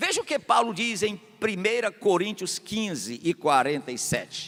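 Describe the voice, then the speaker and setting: A man speaks in a raised, projected voice. His pace is fairly slow. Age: 60s. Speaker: pastor. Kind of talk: sermon.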